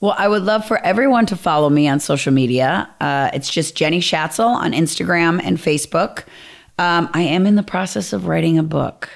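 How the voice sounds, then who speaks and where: With an American accent, a woman talks at a fairly quick pace and fairly low pitch, her lively intonation touched by vocal fry while her loudness stays very even. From Minnesota, US Midwest. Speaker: fitness trainer and program founder. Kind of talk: casual interview chat.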